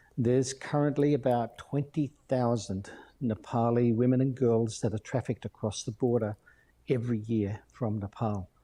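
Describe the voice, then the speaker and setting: In an Australian accent, a man with a dark, mellow tone talks at a medium pitch and a moderate pace, his intonation fairly even over a quiet background. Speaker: missions charity director. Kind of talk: interview.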